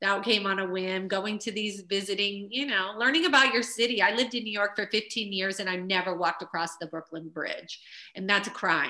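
With a plain, everyday voice, a woman speaks at a fairly quick pace and medium pitch, with ordinary pitch variation and hardly any pauses. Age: 50s. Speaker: choreographer and publicist. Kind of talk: interview.

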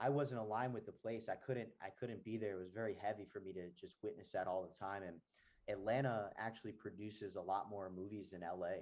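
A man with an American accent has an ordinary speaking voice, fairly low in pitch, moving at a fairly quick pace with fairly even intonation. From New Jersey. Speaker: actor, hypnotherapist. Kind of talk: casual chat.

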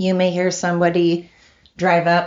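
A woman is speaking at a fairly slow pace. Her pitch is fairly low. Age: 40s. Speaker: podcast host. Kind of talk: casual monologue. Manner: rambling conversational, with fillers.

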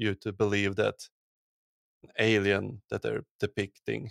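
Fairly slow speech with a Swedish accent, dry and close with no echo, on a very clean recording with a silent background. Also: man. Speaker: podcast host, archaeologist; podcast host. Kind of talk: casual chat.

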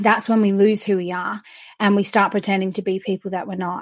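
Recorded very cleanly over a silent background, a woman speaks in an Australian accent. Her medium-pitched voice stays monotone and flat. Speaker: confidence coach. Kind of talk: interview.

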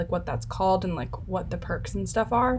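A woman's speech comes with audible room echo and noticeable noise in the background. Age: 20s. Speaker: podcast host and college student. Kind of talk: interview.

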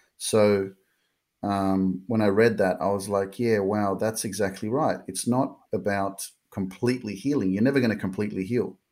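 On a very clean recording with a silent background, a man with an Australian accent speaks at a fairly low pitch with fairly even intonation. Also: moderate pace. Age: 30s. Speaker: motivational life coach. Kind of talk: interview, personal story.

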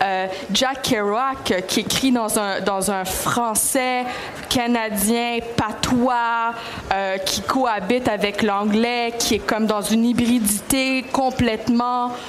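Speaking at a very slow pace with fairly even intonation and very even loudness, a woman with a fairly high pitch is heard amid noticeable background noise and audible room echo. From Montreal, Quebec (Greek family). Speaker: literature professor, author. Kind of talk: panel discussion. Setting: book fair stage.

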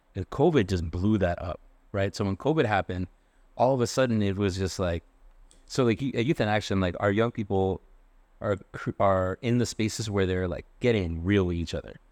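A man with an American accent has a plain, everyday voice, speaking at a moderate pace and a fairly low pitch with ordinary pitch variation, in a dry, close sound with no echo and a quiet background. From Worcester, Massachusetts, US. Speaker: nonprofit executive director. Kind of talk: panel discussion.

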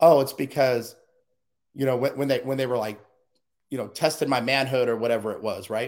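A man with an American accent at medium pitch, a fairly quick pace broken by long, frequent pauses. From US Southwest and Midwest. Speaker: interview guest, speaker on overcoming abuse. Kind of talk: personal testimony in interview. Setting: video call. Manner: animated.

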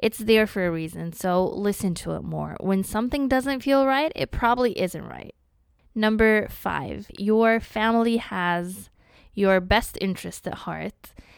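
In a very clean recording with a silent background, a woman speaks in a normal speaking voice at a medium pitch, fairly slow, with ordinary pitch variation. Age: 20s. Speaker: solo podcast host. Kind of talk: solo monologue, advice list.

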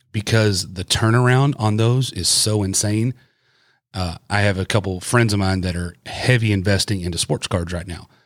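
An ordinary speaking voice from a man at a fairly low pitch, with ordinary pitch variation and a moderate pace, on a very clean recording with a silent background. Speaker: podcast host. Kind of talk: casual chat.

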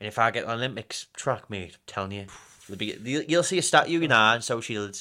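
Speaking at a very fast pace, this man has a northern English accent and a medium pitch. His tone is bright and sharp, with ordinary pitch variation. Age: 20s. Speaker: running coach. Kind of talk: casual chat. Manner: animated.

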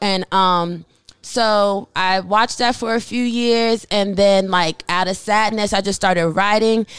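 A woman talks at a fairly slow pace and a medium pitch. Her loudness stays very even, and her intonation is fairly even. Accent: American. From Germany (US military family). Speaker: artist and entrepreneur. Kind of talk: podcast interview. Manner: casual, hesitant with fillers.

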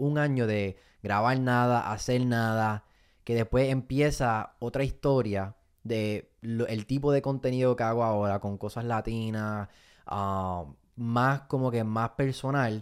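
A man with a plain, everyday voice talks at a medium pitch with ordinary pitch variation, recorded very cleanly against a silent background. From Puerto Rico (Fajardo). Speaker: comedian and content creator. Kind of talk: casual interview.

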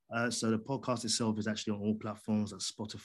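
With a quiet background behind him, a man speaks in a monotone, flat intonation. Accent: London. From London, England. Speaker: podcaster and audio drama creator. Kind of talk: interview.

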